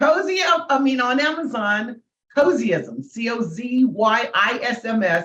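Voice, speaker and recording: A woman's voice with vocal fry. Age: 70s. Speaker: comedian and motivational speaker. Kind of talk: interview.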